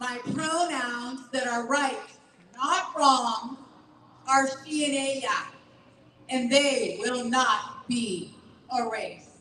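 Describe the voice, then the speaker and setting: With audible room echo, a woman speaks in a high-pitched, raised, projected voice. Her delivery is very slow, with long, frequent pauses. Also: ordinary pitch variation. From Bolivia. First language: Spanish. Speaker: LGBTQ nonprofit director. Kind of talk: rally speech. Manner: emphatic, rousing.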